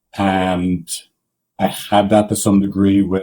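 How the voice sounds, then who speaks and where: In an Irish accent, a man speaks at a fairly slow pace with a dark, mellow tone and a fairly low pitch. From Ireland. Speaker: couples therapist. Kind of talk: podcast interview.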